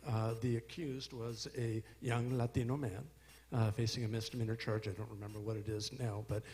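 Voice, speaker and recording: A man's somewhat breathy voice, dark and mellow in tone, medium in pitch, with fairly even intonation at a fairly quick pace. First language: Spanish. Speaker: prosecutor. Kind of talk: panel discussion. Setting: stage with audience.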